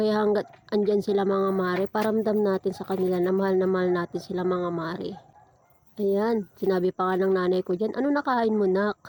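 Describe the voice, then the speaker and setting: At a fairly quick pace, a woman speaks at a medium pitch with fairly even intonation and very even loudness, in a dry, close sound with no echo. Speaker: vlogger. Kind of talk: casual vlog narration.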